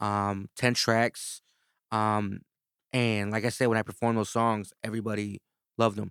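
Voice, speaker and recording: In a dry, close recording with no echo and a completely silent background, a man with a fairly low voice speaks in a flat monotone at a moderate pace, stopping often for long pauses. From East Chicago, Indiana. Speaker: rapper and producer. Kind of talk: casual chat.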